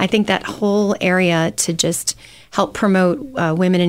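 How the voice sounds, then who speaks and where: In an American accent, the speaker uses an ordinary speaking voice at a moderate pace with ordinary pitch variation. The recording is very clean with a silent background. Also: woman. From Michigan. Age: 40s. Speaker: startup CEO. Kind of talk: interview.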